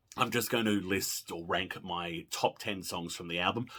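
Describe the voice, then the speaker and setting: A man with an Australian accent talks in an animated tone at a moderate pace. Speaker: pop music video blogger. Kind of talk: casual monologue.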